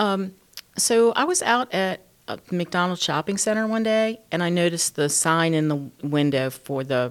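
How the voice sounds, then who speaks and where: A woman's fairly low pitch in a normal speaking voice, with lively intonation at a fairly slow pace. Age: 60s. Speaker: small business owner. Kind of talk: interview.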